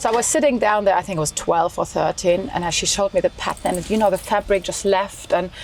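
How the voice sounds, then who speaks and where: A woman talks at a very fast pace over noticeable background noise. Her pitch is medium, with ordinary variation. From Germany, small town. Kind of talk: interview.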